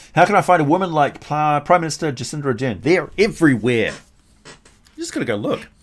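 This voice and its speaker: This man speaks very fast in a New Zealand accent. His intonation is lively. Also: fairly high pitch for a man. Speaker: streamer. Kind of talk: casual chat. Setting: live stream. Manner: careful.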